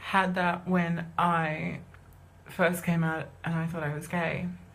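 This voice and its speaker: A woman speaks amid noticeable background noise, with audible room echo in the space. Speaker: singer and musician coming out as transgender. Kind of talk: live stream personal announcement. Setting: live video stream. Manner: fast; halting. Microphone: low quality video.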